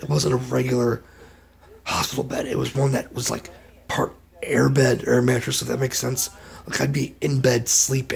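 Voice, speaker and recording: Noticeable background noise can be heard. Over it, a man speaks at a moderate pace. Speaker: vlogger. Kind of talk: casual vlog update. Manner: halting, repetitive.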